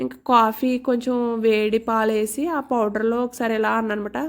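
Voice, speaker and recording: Over a very clean recording with a silent background, a woman speaks in a fairly high pitch with monotone, flat intonation. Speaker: homemaker vlogger. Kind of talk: vlog voiceover narration. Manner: casual, chatty.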